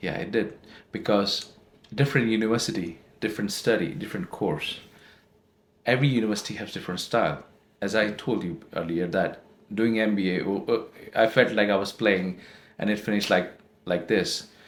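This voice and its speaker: Long, frequent pauses break up a man's fairly quick pace. His pitch is fairly low. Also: ordinary pitch variation. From India. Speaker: postgraduate student. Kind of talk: interview. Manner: halting, self-correcting.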